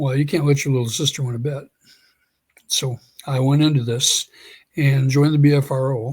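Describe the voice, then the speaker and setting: This somewhat breathy speaker moves at a fairly quick pace with monotone, flat intonation and long, frequent pauses, on a very clean recording with a silent background. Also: man, fairly high pitch for a man. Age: 60s. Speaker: Sasquatch researcher. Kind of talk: interview storytelling. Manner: halting, frequent self-repetition.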